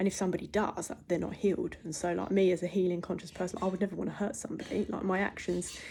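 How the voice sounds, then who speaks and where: Recorded very cleanly against a silent background, a woman talks in a fairly low pitch with a dark, mellow tone, vocal fry and fairly even intonation. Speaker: holistic wellness teacher. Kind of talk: casual spiritual monologue. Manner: fast.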